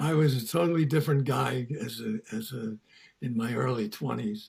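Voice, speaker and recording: Somewhat breathy, a man speaks at a medium pitch. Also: ordinary pitch variation, moderate pace. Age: 80s+. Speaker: founder of a vegan community, longtime activist. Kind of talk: interview.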